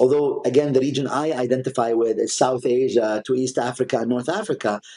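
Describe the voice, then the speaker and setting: The voice has a dark, mellow tone and an Arabic accent, moving at a moderate pace. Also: man. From UAE, Sharjah. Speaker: art collector. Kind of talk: interview.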